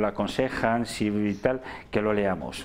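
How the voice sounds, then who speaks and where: A plain, everyday voice from a man at medium pitch, with ordinary pitch variation. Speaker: bookseller recommending books. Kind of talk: casual book recommendations.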